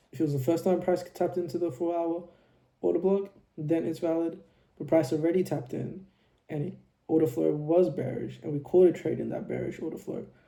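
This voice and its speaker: The voice is quiet, with a dark, mellow tone. It moves at a fairly quick pace with fairly even intonation. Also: man, high pitch for a man. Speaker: trading video creator. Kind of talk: trading tutorial recap. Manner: quiet, low volume; casual, filler-heavy.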